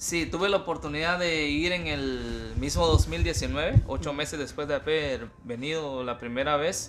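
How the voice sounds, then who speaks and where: Music plays in the background as a man speaks fairly slowly with hardly any pauses. His fairly high pitch shows ordinary variation. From northern Guatemala. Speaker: temporary farm worker. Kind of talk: interview testimony. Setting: outdoors, walking in snow.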